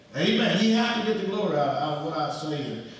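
Strong room echo surrounds a man speaking with lively intonation. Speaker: pastor. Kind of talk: sermon. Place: church. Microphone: camera far.

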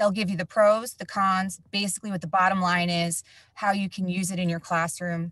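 A woman with an American accent has an unremarkable speaking voice, fairly low in pitch, with fairly even intonation. She talks at a moderate pace in a dry, close sound with no echo. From New Jersey. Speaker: education facilitator, former teacher. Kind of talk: tutorial webinar.

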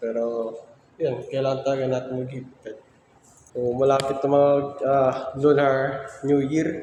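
Noticeable background noise and audible room echo surround speech delivered at a fairly slow pace in a monotone, flat intonation. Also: man, medium pitch for a man. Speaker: student vlogger. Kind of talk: vlog narration. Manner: halting.

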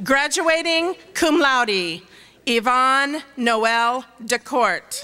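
A woman with a high pitch talks very slowly in a raised, projected voice. Her intonation is lively. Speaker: dean reading graduate names; name reader at commencement. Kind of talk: reading names aloud at graduation. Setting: stage with audience. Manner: steady, measured. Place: stage. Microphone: podium.

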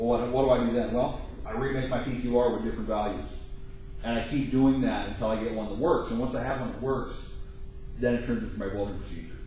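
A man at a fairly quick pace, with ordinary pitch variation, strong room echo and light background noise. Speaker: welding instructor. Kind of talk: lecture. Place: classroom. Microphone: camera far.

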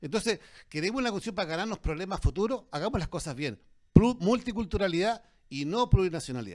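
This man has a high pitch and lively intonation, speaking at a fairly quick pace. The background is quiet. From Chile, interior of Valparaíso region. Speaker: dentist and former politician, debater; panelist. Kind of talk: public debate. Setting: restaurant with live audience. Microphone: handheld.

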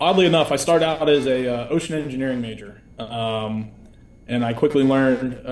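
The speaker has an American accent and fairly even intonation, with audible room echo and light background noise. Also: man. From military family, Germany, Europe and US East Coast, teens in New Jersey. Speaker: navy helicopter pilot. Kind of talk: interview. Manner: hesitant with many fillers. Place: home room. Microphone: video call.

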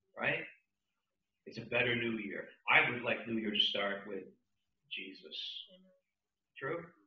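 A man with an American accent talks at a fairly slow pace with long, frequent pauses, and audible room echo hangs on his voice. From New Jersey. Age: old. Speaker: pastor. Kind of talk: sermon. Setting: church. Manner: animated. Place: church.

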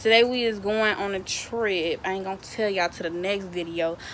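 At a moderate pace, a woman speaks with ordinary pitch variation over light background noise. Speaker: vlogger. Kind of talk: casual vlog chat. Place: street. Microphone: phone near.

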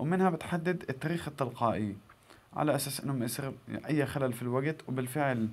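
With a Gazan accent, a man talks at a fairly quick pace. His pitch varies in an ordinary way. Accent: Gazan Palestinian Arabic. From Palestine, northern Gaza Strip. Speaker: YouTuber; tech tips vlogger. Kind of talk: tutorial. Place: home room. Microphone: phone near.

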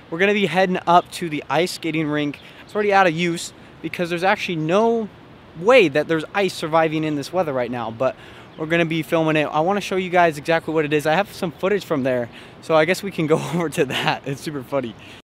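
Against light background noise, a man speaks very fast with ordinary pitch movement. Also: dry sound with no echo. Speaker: vlogger. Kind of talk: casual vlog chat. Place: street. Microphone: phone near.

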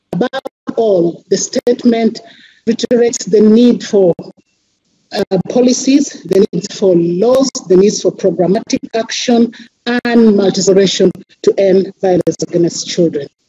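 Pitch varies in an ordinary way. The sound is dry with no echo. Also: woman, fairly slow pace, quiet background. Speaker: civil society representative; panelist. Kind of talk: reading a formal statement. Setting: video call. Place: office. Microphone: headset.

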